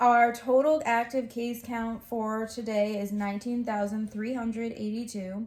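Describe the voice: A woman's voice with an American accent and little pitch movement, with audible room echo. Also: fairly high pitch for a woman, fairly slow pace, slightly mellow tone.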